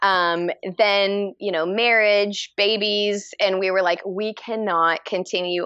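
Bright and sharp in tone, this voice has a Texan accent and a monotone, flat delivery. It moves at a very slow pace against a quiet background. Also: woman. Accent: Texan American English. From Texas, Dallas. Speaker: fiber artist. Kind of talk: casual chat.

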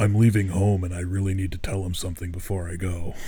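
A put-on character voice rattles along at a very fast pace. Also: man, very deep, low pitch for a man. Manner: intense.

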